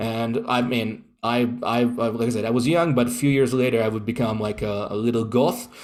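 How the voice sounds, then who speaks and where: In an Italian accent and with audible room echo, a man talks at a fairly quick pace with fairly even intonation and hardly any pauses. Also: medium pitch for a man. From Italy, Rome. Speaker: occultist. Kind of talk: interview. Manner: halting.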